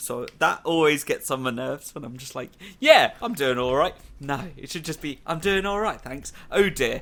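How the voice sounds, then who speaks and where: A man with a British accent speaks at a moderate pace in a fairly high voice, with lively intonation and big swings in loudness. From Britain. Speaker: podcast host. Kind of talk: casual chat.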